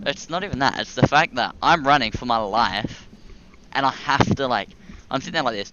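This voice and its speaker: A man speaks at a fairly quick pace and a medium pitch. His intonation is lively. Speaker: gaming YouTuber. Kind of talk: casual chat. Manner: loud.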